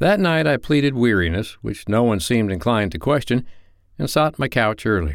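The intonation is lively throughout the plain reading aloud.

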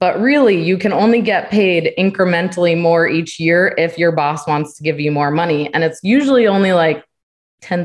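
A woman with an American accent speaks at a moderate pace and a fairly low pitch, with fairly even intonation. It is an unremarkable speaking voice. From US Northeast. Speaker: travel community manager. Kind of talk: casual panel chat. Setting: video call.

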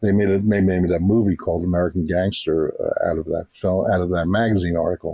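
In a New York accent, a man with a very deep, low voice and a dark, mellow tone speaks in a monotone, flat way with very even loudness and hardly any pauses. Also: fairly quick pace. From New York City, Queens. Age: 70s. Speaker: author and journalist. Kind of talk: interview. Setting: remote call.

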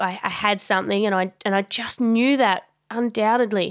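A woman at medium pitch with an Australian accent and monotone, flat intonation, in a very clean recording with a silent background. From Australia, Tasmania. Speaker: boxing and performance coach. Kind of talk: interview.

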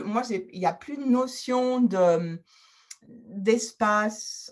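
The speaker is a woman. Her pitch is fairly high. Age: 60s. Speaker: personal development facilitator. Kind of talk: interview. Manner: animated; halting.

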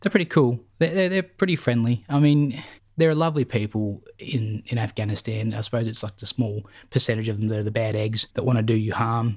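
On a very clean recording with a silent background, a man with an Australian accent talks fairly quickly at medium pitch with ordinary pitch variation. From Melbourne southeast, Victoria, Australia. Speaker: war veteran. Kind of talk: interview testimony.

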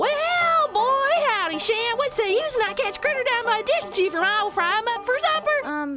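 A woman performs a put-on character voice. She speaks at a moderate pace. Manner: friendly, exaggerated.

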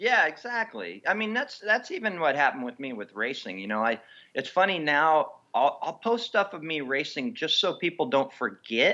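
With an American accent, a man speaks at a moderate pace in a fairly high pitch, his bright, sharp tone marked by vocal fry and very wide pitch swings, over a quiet background. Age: 40s. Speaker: professional mountain biker. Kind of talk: casual interview chat. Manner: animated.

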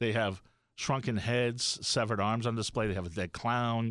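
On a very clean recording with a silent background, a man speaks at a moderate pace. His fairly low pitch carries ordinary pitch variation and a slight New York accent. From Florida (Miami), born in Brooklyn. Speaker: goth comedian and podcaster. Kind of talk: casual chat. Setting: studio.

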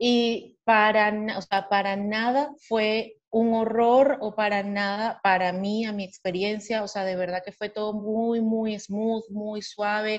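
Her intonation is monotone and flat, at a fairly high pitch. This woman speaks at a very slow pace with hardly any pauses. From Venezuela. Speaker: business social media expert. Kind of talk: casual chat.

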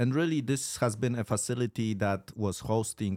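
Fairly slow speech in a Polish accent, dry and close with no echo, on a very clean recording with a silent background. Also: man. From Poland. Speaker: ministry representative. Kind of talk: casual interview. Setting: studio.

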